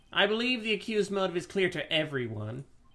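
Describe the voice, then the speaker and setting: In a put-on character voice, a man speaks very fast with a high, whiny pitch and lively intonation. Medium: game stream. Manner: smug, pressing.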